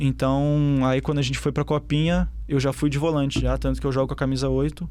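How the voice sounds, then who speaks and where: A man with a southern Brazilian accent at a fairly quick pace, on a very clean recording with a silent background. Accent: gaúcho (southern Brazilian). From southern Brazil, Porto Alegre. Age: 20s. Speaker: professional footballer. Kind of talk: interview.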